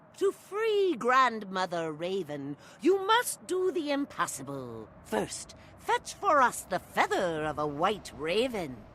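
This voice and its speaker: A woman speaks in a put-on character voice at medium pitch and a fairly slow pace. Clear background noise sits behind her. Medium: solo performance. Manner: solemn, oracular.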